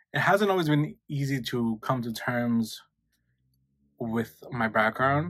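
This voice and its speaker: In a very clean recording with a silent background, a man is speaking. His voice sits at a medium pitch and shows ordinary pitch variation. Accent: New York. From New York, Queens. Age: 20s. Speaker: YouTuber. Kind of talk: casual chat.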